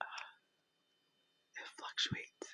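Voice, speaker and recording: Whispering at a fairly slow pace. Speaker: ASMR creator. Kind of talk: casual talk to camera. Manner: whispered.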